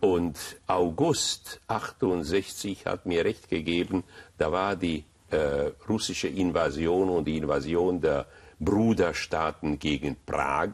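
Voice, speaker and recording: Speaking very slowly with a Hungarian accent, the voice shows ordinary pitch variation. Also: man, very deep, low pitch for a man. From Hungary, Budapest. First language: Hungarian (speaking German). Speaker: rabbi. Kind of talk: interview.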